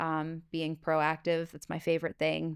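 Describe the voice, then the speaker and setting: A woman with a fairly low pitch talks at a moderate pace in a very clean recording with a silent background. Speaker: Medicare insurance agent. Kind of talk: casual unscripted talk to camera. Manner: loud.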